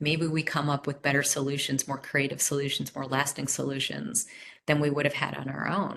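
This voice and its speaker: A woman talks at a fairly quick pace in a very deep, low pitch with vocal fry. Her tone is bright and sharp, and her intonation fairly even. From US Northeast. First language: not English. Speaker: workshop presenter. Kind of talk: webinar presentation.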